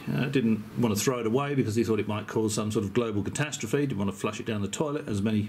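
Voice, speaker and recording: A man talks at a very fast pace with an English accent. His pitch is medium, with ordinary variation. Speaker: YouTuber. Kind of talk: casual video commentary. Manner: hesitant.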